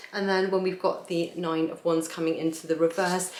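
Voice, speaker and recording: A woman talks at a fairly quick pace with fairly low pitch. Noticeable background noise is present. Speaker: tarot reader. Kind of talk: tarot reading talk to camera. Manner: casual, warm.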